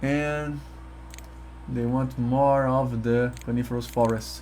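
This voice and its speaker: Audible room echo surrounds a man with a Portuguese accent speaking at a fairly slow pace. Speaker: gaming YouTuber. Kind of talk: let's play commentary. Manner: halting, self-correcting.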